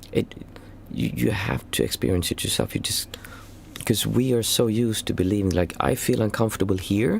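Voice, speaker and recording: Lively intonation and a fairly quick pace come through over noticeable background noise. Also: man, fairly low pitch for a man. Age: 40s. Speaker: meditation teacher. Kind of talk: Q&A livestream. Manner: halting.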